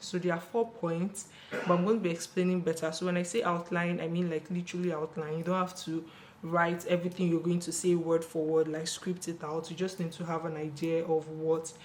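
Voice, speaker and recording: Quiet and fairly low-pitched, a woman speaks at a fairly quick pace with monotone, flat intonation over noticeable background noise. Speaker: beauty YouTuber. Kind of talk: casual tutorial vlog. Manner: speaking quietly.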